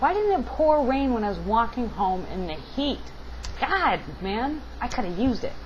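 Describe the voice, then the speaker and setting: The woman's voice sits fairly high in pitch. Both room echo and noticeable background noise are present. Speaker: video blogger. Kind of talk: casual vlog monologue. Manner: halting.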